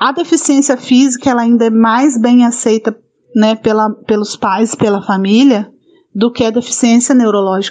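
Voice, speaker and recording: A woman with a normal speaking voice speaks at a moderate pace, her pitch fairly high and ordinary in variation. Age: 40s. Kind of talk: interview.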